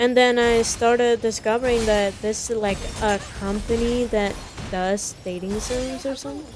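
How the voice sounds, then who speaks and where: Speaking at a moderate pace with a non-native accent and fairly even intonation, this voice comes through over noticeable background noise. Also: woman, fairly high pitch for a woman. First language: not English. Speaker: gaming YouTuber. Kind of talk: casual vlog chat. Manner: halting, self-correcting.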